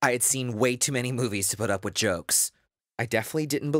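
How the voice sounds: Quiet background behind a natural reading voice with ordinary pitch variation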